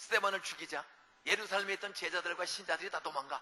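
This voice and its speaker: A man speaks at a very fast pace in a high pitch for a man. Noticeable background noise sits behind him. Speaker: revival preacher. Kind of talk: sermon. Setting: church. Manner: animated.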